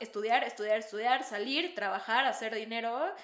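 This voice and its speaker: With ordinary pitch variation, a woman speaks at a fairly high pitch and a moderate pace. There is noticeable background noise and audible room echo. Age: 20s. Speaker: podcast co-host. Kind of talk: casual chat.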